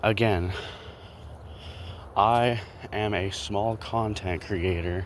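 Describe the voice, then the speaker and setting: Speaking very slowly with long, frequent pauses, a man keeps his fairly low voice fairly even in intonation. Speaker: small content creator, vlogger. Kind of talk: casual walking vlog commentary. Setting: outdoors, walking around neighborhood. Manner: rambling, halting with fillers.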